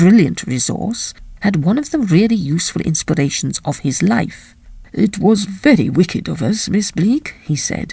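This is an unforced reading voice. Its intonation is lively.

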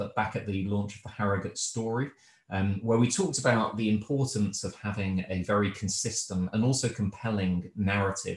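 A man's fairly low, somewhat breathy voice at a moderate pace, with audible room echo and a quiet background. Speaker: host introducing a webinar. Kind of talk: event introduction. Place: home room. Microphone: video call.

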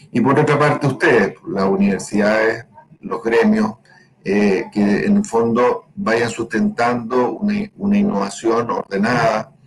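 A man's fairly slow delivery at very even loudness, over noticeable background noise. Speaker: pellet company owner. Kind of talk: conference presentation.

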